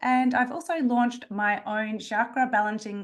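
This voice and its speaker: This is a woman with an Australian accent. Her voice sits at a fairly high pitch. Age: 40s. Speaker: naturopath and nutritionist. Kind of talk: webinar presentation. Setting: video call.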